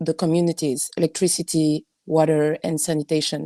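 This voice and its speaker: A woman with a non-native accent, fairly low in pitch, dark and mellow in tone, on a very clean recording with a silent background. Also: dry, close sound with no echo. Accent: non-native English speaker. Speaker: architect. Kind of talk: panel discussion, reading notes. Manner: halting.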